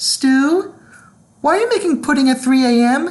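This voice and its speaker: Here a female-sounding put-on character voice, high in pitch for a woman, moves at a moderate pace. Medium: read story.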